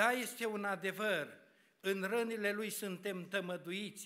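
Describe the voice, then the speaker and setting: Projecting a raised voice, a man talks at a very slow pace with a bright, sharp tone. The background is quiet. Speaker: preacher. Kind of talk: sermon. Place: church. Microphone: podium.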